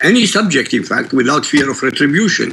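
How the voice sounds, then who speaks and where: The speaker has an Iraqi accent and lively intonation. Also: man. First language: Arabic. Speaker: author and critic of religion. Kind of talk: news interview. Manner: emphatic.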